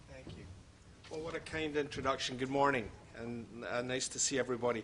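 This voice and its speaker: A man with a Scottish accent and a medium pitch speaks at a very fast pace with fairly even intonation and big swings in loudness, amid noticeable background noise and audible room echo. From Scotland. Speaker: healthcare futurist and keynote speaker. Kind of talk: lecture. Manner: witty.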